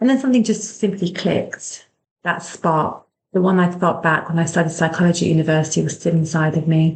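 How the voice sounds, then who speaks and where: Somewhat breathy, a woman with a British accent talks at a fairly quick pace in a fairly low pitch. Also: ordinary pitch variation, very even loudness. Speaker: clinical hypnotherapist. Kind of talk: personal story, podcast monologue. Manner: compassionate, gentle.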